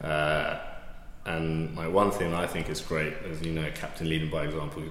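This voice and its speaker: Speaking in a London accent, a man with a very deep, low pitch keeps a monotone, flat intonation amid noticeable background noise and audible room echo. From west London, England. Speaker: amateur rugby club captain. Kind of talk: casual interview.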